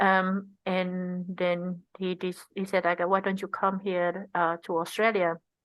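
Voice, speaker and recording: A woman with an Indonesian accent speaks at medium pitch. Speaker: tech design researcher. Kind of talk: interview conversation. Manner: halting.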